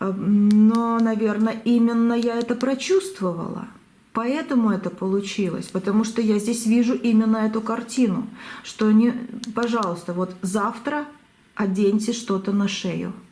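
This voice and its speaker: Audible room echo and noticeable background noise surround the recording. A woman speaks at a fairly high pitch and fairly slow pace, with ordinary pitch variation. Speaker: tarot reader. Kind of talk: tarot reading. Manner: halting.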